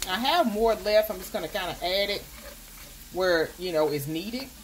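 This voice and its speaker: A woman's voice with noticeable noise in the background. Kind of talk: casual cooking tutorial chat. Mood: upbeat and playful. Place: kitchen. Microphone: phone near.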